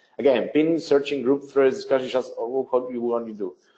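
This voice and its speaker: A man's very fast speech with a non-native accent, medium in pitch and dark, mellow in tone. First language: not English. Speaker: webinar presenter, business development. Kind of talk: software tutorial webinar. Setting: online webinar.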